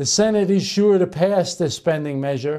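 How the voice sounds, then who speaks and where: A man's high, dark and mellow voice with ordinary pitch variation over a quiet background. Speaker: political commentator. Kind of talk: angry political rant, fiery partisan denunciation. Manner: indignant, accusatory; emphatic, repetitive rhetorical questions. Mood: indignant, sarcastic. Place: studio. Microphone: lapel.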